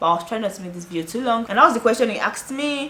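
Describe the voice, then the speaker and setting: A woman speaks in a Nigerian accent. Her tone is bright and sharp, with lively intonation. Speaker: YouTuber. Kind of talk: vlog talking to camera. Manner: fast; casual, chatty.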